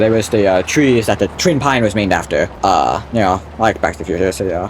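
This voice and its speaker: Noticeable background noise sits behind a man speaking with lively intonation at a fairly quick pace. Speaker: gaming YouTuber. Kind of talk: gameplay commentary. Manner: casual, rambling with fillers; sudden loud exclamations.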